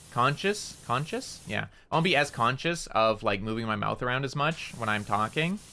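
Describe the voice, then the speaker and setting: Loud and at a fairly quick pace, a man speaks with very wide pitch swings. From Canada. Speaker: VTuber streamer. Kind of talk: casual gaming livestream chat. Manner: loud, careful enunciation.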